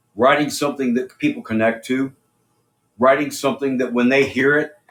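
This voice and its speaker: Over music in the background, a man with an American accent talks at a fairly quick pace in a medium pitch with fairly even intonation. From USA. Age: 60s. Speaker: rock singer and musician. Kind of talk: interview.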